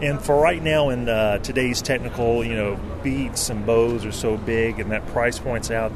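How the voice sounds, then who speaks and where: Noticeable background noise and audible room echo surround a man speaking at a moderate pace. He has an American accent and ordinary pitch variation. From US South, North Carolina. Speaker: company representative. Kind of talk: product pitch. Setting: trade show floor.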